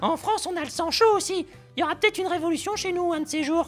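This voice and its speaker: A man's cartoonish character voice at an extremely high pitch and very fast pace, with clear music in the background. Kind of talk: comedy puppet dialogue full of puns. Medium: puppet.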